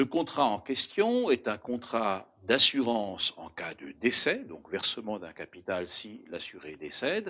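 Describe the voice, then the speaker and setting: A man with an Alsatian accent, very slow in pace, loudness swinging widely, hardly a pause anywhere. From Alsace, France. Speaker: insurance broker, company founder. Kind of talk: prepared address to camera. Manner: formal.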